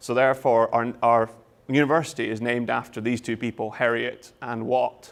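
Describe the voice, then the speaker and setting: Monotone, flat delivery in a Scottish accent on a very clean recording with a silent background. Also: man. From Scotland. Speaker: university lecturer. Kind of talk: lecture.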